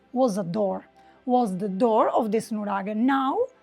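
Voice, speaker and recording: With music in the background, a woman speaks fairly slowly in a Sardinian accent, her fairly high pitch showing ordinary variation. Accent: Italian (Sardinian) accent in English. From Sardinia, Italy. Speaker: travel writer and travel designer. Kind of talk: on-site travel guide talk to camera. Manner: casual, unscripted.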